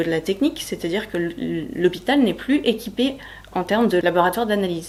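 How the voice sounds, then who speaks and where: The delivery is fairly quick with lively intonation. It comes in an ordinary speaking voice. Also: woman. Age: 30s. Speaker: healthcare worker and cancer patient. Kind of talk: personal testimony interview.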